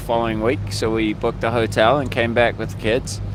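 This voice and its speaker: Noticeable background noise sits behind a man talking at a fairly quick clip. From New Zealand. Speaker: protester. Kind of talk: street interview. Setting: outdoors.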